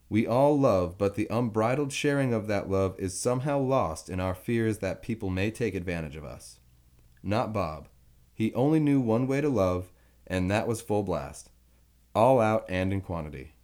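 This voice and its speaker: An unremarkable speaking voice from a man, fairly low in pitch, with lively intonation at a moderate pace. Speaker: narrator reading an article aloud. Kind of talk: reading aloud a written eulogy tribute.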